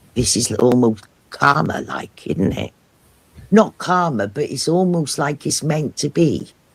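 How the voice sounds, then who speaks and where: At a fairly slow pace, the speaker's somewhat breathy voice rises and falls with lively intonation. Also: man, fairly high pitch for a man. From Wales, Cardiff. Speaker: live streamer. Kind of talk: casual chat.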